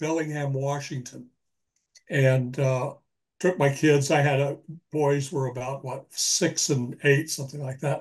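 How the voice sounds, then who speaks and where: This man's voice has a somewhat breathy quality. It sits fairly high in pitch. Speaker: retired police detective and author. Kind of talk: interview.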